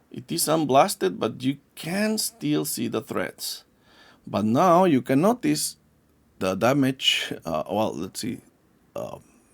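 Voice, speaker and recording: The speaker has a non-native accent and talks at a very slow pace. The recording is very clean, with a silent background. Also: man. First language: not English. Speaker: yo-yo maker. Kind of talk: product demonstration. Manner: halting, many fillers and restarts; casual.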